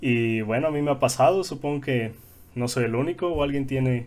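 A man talks in an unremarkable speaking voice. It sits at a medium pitch with ordinary pitch variation. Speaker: podcast co-host. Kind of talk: casual chat.

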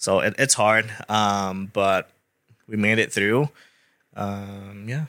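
In a Thai accent, a man with a fairly low pitch talks at a very slow pace with long, frequent pauses, fairly even intonation and a bright, sharp tone on a very clean recording with a silent background. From Thailand (Bangkok). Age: 30s. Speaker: real estate agent. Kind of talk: interview.

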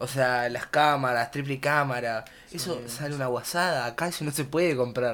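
A man speaks in a Rioplatense accent with fairly even intonation. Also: medium pitch for a man, moderate pace. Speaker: podcast co-host. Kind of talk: casual chat.

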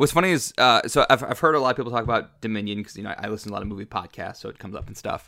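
A man with an American accent talks at a very fast pace with hardly any pauses, his bright, sharp tone carrying lively intonation and big swings in loudness over a very clean recording with a silent background. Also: medium pitch for a man. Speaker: podcast co-host. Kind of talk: casual chat.

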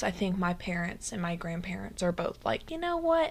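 In a very clean recording with a silent background, a woman with a normal speaking voice and medium pitch speaks with lively intonation. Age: 20s. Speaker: solo podcast host. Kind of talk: casual monologue. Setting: home recording, sitting in bed.

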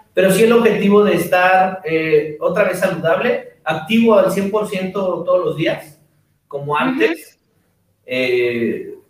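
Speaking very slowly, a man uses a high pitch and lively intonation. Audible room echo surrounds his voice. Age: 40s. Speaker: fitness trainer and podcast host. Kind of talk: casual chat.

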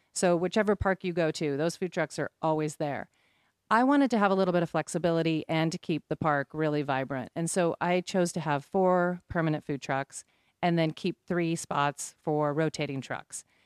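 A woman with an American accent has an ordinary speaking voice, a moderate pace, and ordinary pitch variation. The sound is dry and close with no echo, in a very clean recording with a silent background. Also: fairly low pitch for a woman. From Oregon, US Pacific Northwest. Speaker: business owner. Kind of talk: casual interview.

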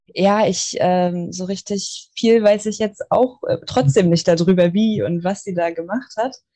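Speaking at a fairly slow pace with hardly any pauses, a woman has a medium pitch and ordinary pitch variation. Her tone is dark and mellow. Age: 20s. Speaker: medical assistant and Reiki student. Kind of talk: casual interview. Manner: hesitant, many fillers.

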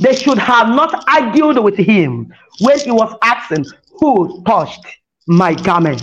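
At a very slow pace, a woman speaks at a fairly high pitch with very wide pitch swings. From Nigeria. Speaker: pastor. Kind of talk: sermon. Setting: phone call. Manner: animated.

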